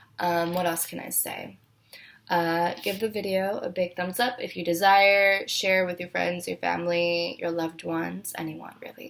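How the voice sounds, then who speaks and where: With ordinary pitch variation, this woman talks in a fairly low register. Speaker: tarot reader. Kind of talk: tarot reading outro. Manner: slow, not fast.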